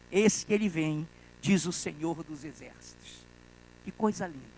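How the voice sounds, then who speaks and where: A man speaks at a moderate pace. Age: 60s. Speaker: pastor. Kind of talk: sermon. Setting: church.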